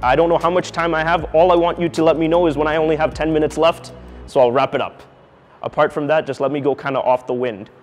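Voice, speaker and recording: Very fast speech with fairly even intonation over music in the background. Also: man, fairly high pitch for a man. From Canada, Toronto. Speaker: company CEO, speaker at engineering college. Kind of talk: talk to students.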